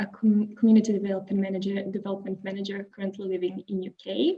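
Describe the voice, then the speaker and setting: At a moderate pace, a woman talks in a Croatian accent. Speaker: webinar moderator. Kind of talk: webinar introduction.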